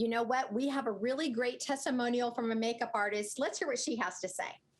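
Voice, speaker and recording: Against noticeable background noise, a woman speaks at a very fast pace. Her pitch is high. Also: ordinary pitch variation, very even loudness. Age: 60s. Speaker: skincare product spokesperson. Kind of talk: sales pitch.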